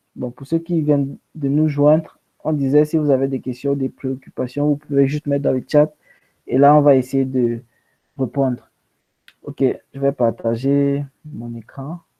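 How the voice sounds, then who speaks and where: Monotone and flat, a man with fairly high pitch talks at a fairly slow pace, with long, frequent pauses. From Cameroon, anglophone home. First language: English (speaking French). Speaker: conference speaker. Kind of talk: online talk.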